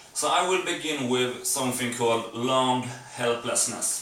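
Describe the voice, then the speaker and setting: Speech comes at a fairly slow pace with fairly even intonation, over noticeable background noise and audible room echo. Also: man. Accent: non-native. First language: not English. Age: 40s. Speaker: vlogger. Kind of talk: casual vlog monologue. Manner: hesitant, with fillers.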